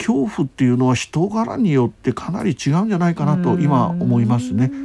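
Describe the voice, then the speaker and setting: Noticeable background noise runs under a man's voice. He speaks with a fairly high pitch and lively intonation. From Japan, Hiroshima. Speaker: palliative care physician. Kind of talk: interview.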